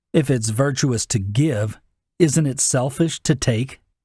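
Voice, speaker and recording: Fairly high-pitched, somewhat breathy male voice with ordinary pitch variation. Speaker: narrator in practice. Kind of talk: dramatic speech reading.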